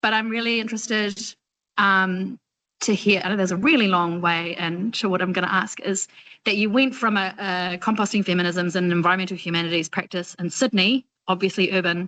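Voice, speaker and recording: A woman's bright, sharp voice at a medium pitch and fairly quick pace against a quiet background. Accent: New Zealand. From New Zealand. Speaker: doctoral student. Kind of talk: Q&A question in online seminar. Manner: animated, casual.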